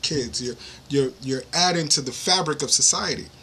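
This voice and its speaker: Against noticeable background noise, a man speaks with a New York accent at medium pitch. His pace is moderate, with ordinary pitch variation. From New York City. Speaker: podcast host. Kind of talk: interview conversation.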